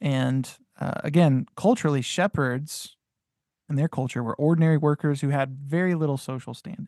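In dry, close sound with no echo, a man with an ordinary speaking voice and a fairly high pitch talks at a moderate pace with ordinary pitch variation. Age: 30s. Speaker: podcast co-host, biblical scholar. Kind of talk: casual discussion of scripture.

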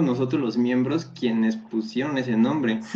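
This man talks with ordinary pitch variation. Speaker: pharmaceutical chemist. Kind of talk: casual chat.

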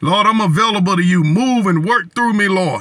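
A man's high, raised, projected voice, bright and sharp in tone, with lively intonation at a moderate pace. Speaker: preacher leading prayer. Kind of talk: fervent prayer, repetitive 'Lord' cadence, pleading and declaring. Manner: intense, earnest, rhythmic, impassioned.

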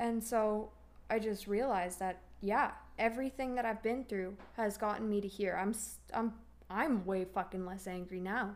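Her intonation fairly even, a woman with a plain, everyday voice talks at a moderate pace and a medium pitch. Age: 20s. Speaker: daughter of a recovering addict. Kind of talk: casual interview.

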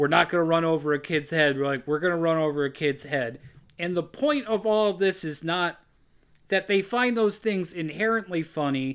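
Recorded very cleanly against a silent background, a man talks at a moderate pace with a high pitch and ordinary pitch variation. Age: 30s. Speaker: horror film podcast host. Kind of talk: casual chat.

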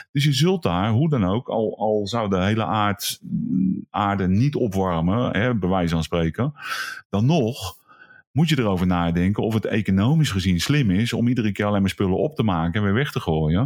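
A man's fairly low-pitched, normal speaking voice, with lively intonation, a moderate pace and very even loudness. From Netherlands, Brabant. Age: 50s. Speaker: vocational school teacher and photographer. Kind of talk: casual chat.

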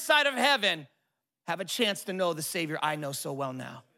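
Using a raised, projected voice, a man with an American accent speaks with very wide pitch swings. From Southern California. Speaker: pastor. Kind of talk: guest sermon to a live church congregation, building to a rousing call on generosity. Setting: church with live audience. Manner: casual and warm with frequent filler ums and uhs.

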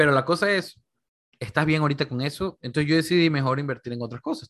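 A man talks at a very fast pace. His pitch variation is ordinary. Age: 20s. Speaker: financial advisor. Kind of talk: casual interview chat. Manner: animated, repetitive fillers.

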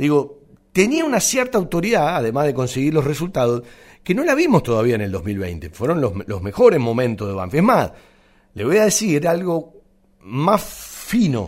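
The recording is very clean, with a silent background. A man with a fairly high pitch speaks with very wide pitch swings. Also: moderate pace. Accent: Rioplatense. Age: 50s. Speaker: radio sports host. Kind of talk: radio sports talk show.

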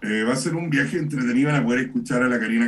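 The man's speech shows ordinary pitch variation. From Chile, Santiago. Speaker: poet and performer. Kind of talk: casual chat. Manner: halting.

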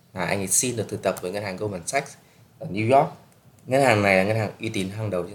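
This man speaks with ordinary pitch variation. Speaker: podcast host, student abroad. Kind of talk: casual solo podcast talk.

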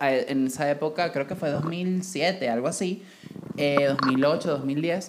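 Animated in tone, a woman speaks with ordinary pitch variation over noticeable background noise. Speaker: podcast co-host. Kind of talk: casual chat.

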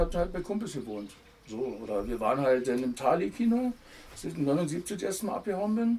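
A man's high voice at a fairly quick pace, with very wide pitch swings. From Berlin (Kreuzberg/Neukölln). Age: 50s. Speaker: former amateur footballer and punk musician. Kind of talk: casual interview. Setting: outdoors in a garden.

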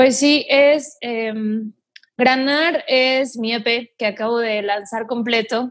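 A woman talks very slowly in a high pitch. Her intonation stays fairly even. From northeastern Mexico (Mante, Tamaulipas). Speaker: singer-songwriter. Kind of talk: casual interview.

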